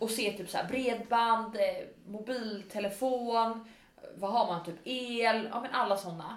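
Amid noticeable background noise and audible room echo, a woman speaks with a fairly high pitch. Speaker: podcast co-host. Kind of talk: casual chat. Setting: own kitchen.

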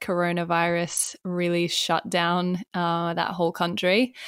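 Fairly slow speech in an Australian accent, on a very clean recording with a silent background. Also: woman. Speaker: entrepreneur and business coach. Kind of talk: interview.

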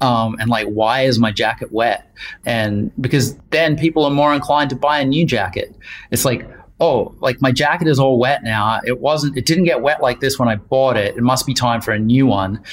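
Delivered with a New Zealand accent, the speech moves at a moderate pace with very even loudness and ordinary pitch variation. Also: man, medium pitch for a man. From New Zealand, Wellington. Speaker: outdoor apparel designer. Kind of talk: casual interview. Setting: video call.

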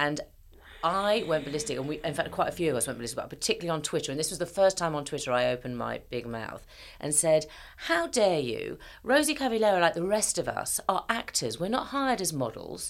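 In a British accent, a woman with a fairly low pitch talks at a very fast pace with very wide pitch swings, on a very clean recording with a silent background. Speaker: podcast host, actor. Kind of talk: casual interview chat.

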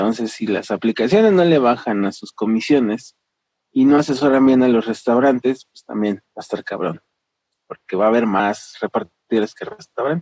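A plain, everyday voice at a moderate pace, with big swings in loudness. The sound is dry and close, with no echo. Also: man, medium pitch for a man, ordinary pitch variation. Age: 30s. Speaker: delivery rider and labor organizer. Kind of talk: interview.

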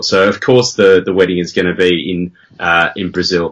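Moderately paced speech from a man with an Australian accent. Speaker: podcaster, writer. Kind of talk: casual chat, podcast.

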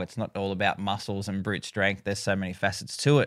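A man with an Australian accent talks at a very fast pace and a fairly low pitch on a very clean recording with a silent background. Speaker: singer and youth educator. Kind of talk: interview conversation.

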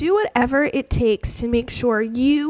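A woman's fairly high voice with lively intonation. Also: fairly bright tone.

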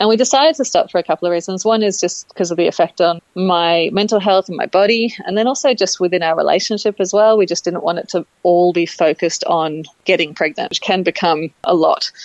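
Talking very fast, a woman with an Australian accent has a medium pitch and ordinary pitch variation. The sound is dry and close, with no echo. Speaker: interviewee sharing IVF story. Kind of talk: casual interview. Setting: phone call.

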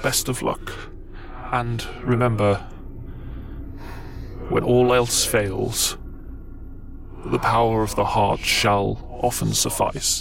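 A put-on character voice speaks in a deadpan tone at a very slow pace, with long, frequent pauses. Loud background noise runs underneath. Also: man, medium pitch for a man. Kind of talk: archaic formal speech. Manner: grave, deadpan, expressionless; solemnly sincere.

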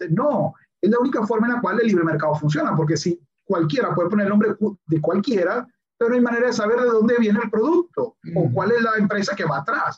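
A man speaks at a very fast pace. His pitch is high and his intonation lively. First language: English (speaking Spanish). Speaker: science communicator and YouTuber. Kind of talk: casual chat.

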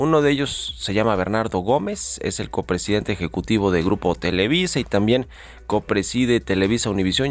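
At a moderate pace, a man with fairly low pitch talks in an ordinary speaking voice. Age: 30s. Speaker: radio business host. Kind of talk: radio show hosting. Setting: radio studio.

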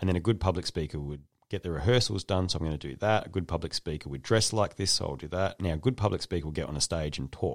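Very fast and with hardly any pauses, a man talks in an Australian accent at a very deep, low pitch with vocal fry. The recording is very clean, with a silent background. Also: ordinary pitch variation. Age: 40s. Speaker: podcast host. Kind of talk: casual interview.

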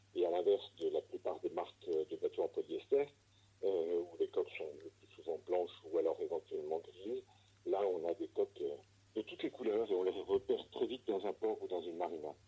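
At a moderate pace, a man speaks with big swings in loudness, the sound dry and close with no echo. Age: 60s. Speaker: sailboat shipyard director. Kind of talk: interview. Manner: hesitant with frequent fillers.

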